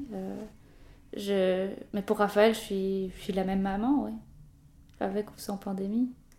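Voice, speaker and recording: A woman speaks at a very slow pace and medium pitch, in a monotone, flat intonation. Her pauses are long and frequent. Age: 20s. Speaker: journalist and new mother. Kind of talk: interview about personal experience. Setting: at the guest's home.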